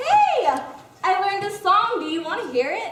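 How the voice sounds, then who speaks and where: A woman puts on a squeaky character voice at an extremely high pitch. She keeps a moderate pace, and there is a slight echo. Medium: stage play.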